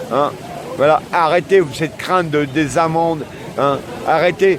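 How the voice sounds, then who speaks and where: This man's voice sits at a fairly high pitch. Noticeable background noise runs under it. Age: 70s. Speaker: activist walker. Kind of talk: street interview. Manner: animated.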